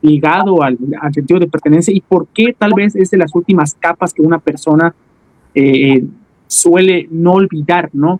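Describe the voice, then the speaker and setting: A man's high-pitched voice at a fairly slow pace, with very even loudness and ordinary pitch variation. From Tabasco, Mexico. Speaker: podcast host. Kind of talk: interview. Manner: halting.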